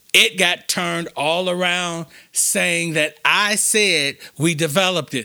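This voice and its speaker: On a very clean recording with a silent background, a man speaks very slowly in a high pitch, his tone bright and sharp, with ordinary pitch variation. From Chicago, West Side. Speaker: nonprofit foundation president. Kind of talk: interview. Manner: halting, repeats words.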